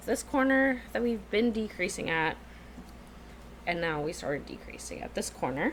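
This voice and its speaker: Noticeable background noise sits behind the speech. The pace is moderate, with long, frequent pauses. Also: woman. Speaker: knitting podcaster. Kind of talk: casual talk to camera.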